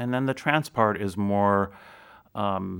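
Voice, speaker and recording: A man with a plain, everyday voice, fairly low in pitch, at a moderate pace on a very clean recording with a silent background. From US Midwest, Chicago area. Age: 50s. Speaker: researcher of music and spirituality. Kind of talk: interview.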